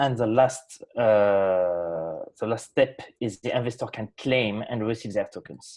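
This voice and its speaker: A man speaks at a fairly slow pace with a French accent, barely pausing. His medium pitch moves in an ordinary way. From France. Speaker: software developer presenting project. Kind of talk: project presentation. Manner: halting, many fillers.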